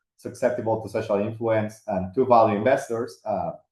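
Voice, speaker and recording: Using a medium pitch and fairly even intonation, a man talks at a fairly quick pace. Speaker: finance professor presenting research. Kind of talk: academic webinar presentation. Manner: fast; many fillers and hesitations.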